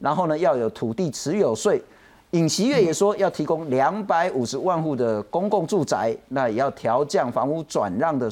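Lively intonation marks a man's fairly high voice. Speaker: talk show host. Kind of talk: political talk show. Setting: studio.

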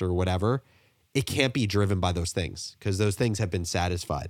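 In a dry, close sound with no echo and a very clean recording with a silent background, a man with an ordinary speaking voice and fairly low pitch talks at a fairly quick pace with ordinary pitch variation. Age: 20s. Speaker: entrepreneur. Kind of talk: interview.

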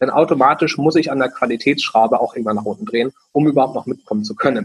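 This man speaks fairly quickly, with pitch that varies in an ordinary way. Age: 20s. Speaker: franchise founder. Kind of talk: interview.

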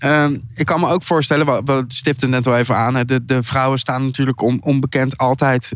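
Pitched at a medium level, the man's voice keeps a fairly even intonation. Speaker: podcast host. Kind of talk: casual interview. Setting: food hall in The Hague.

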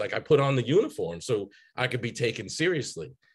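A fairly quick, fairly high-pitched man with an American accent and vocal fry. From Chicago and Boston, US. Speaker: psychotherapist. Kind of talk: casual interview chat.

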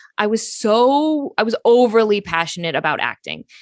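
With a Pacific Northwest accent, a woman speaks in a fairly high voice. Her intonation is lively, and the background is quiet. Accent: General American (Pacific Northwest). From US Pacific Northwest. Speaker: actor and author. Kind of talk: interview.

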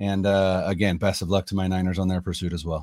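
Moderate pace from a man with an American accent, very clean recording and silent background. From Northern California. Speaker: sports podcaster. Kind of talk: casual interview. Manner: hesitant fillers.

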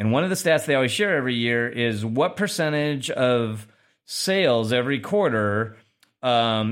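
A man with an unremarkable speaking voice at medium pitch, speaking at a fairly slow pace with very even loudness on a very clean recording with a silent background. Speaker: podcast host. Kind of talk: casual news discussion.

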